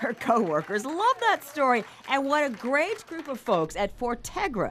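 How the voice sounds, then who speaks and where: Over noticeable background noise, the speaker moves at a moderate pace with very wide pitch swings. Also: woman. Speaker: TV news reporter. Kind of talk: TV news anchor talk.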